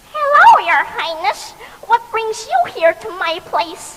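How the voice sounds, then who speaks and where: Squeaky and female-sounding, this put-on character voice sits at an extremely high pitch for a woman and moves at a fairly slow pace. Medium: read story.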